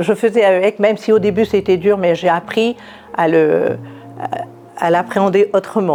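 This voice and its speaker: Against noticeable background noise, a woman's medium-pitched voice shows ordinary pitch variation. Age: 60s. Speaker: cancer survivor. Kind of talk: testimony. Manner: halting.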